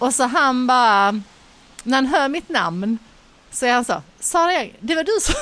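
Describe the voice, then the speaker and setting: Her pitch rises and falls across a very wide range. The woman's voice carries over noticeable background noise. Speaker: podcast co-host. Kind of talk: casual chat. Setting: bar on a busy street.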